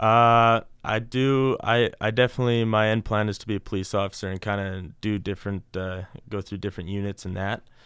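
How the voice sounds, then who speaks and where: A man with a Canadian accent speaks at a fairly quick pace in a normal speaking voice, his intonation fairly even. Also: fairly low pitch for a man. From Canada, Alberta (St. Albert). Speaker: college baseball player. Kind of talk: interview.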